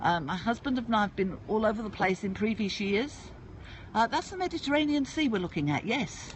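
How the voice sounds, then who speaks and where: Somewhat breathy and in a British accent, the speaker moves at a fairly quick pace with very wide pitch swings. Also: woman, fairly high pitch for a woman. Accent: UK. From England (UK). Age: 60s. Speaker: livestreamer. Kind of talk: casual live-stream chat. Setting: outdoors at a seaside port.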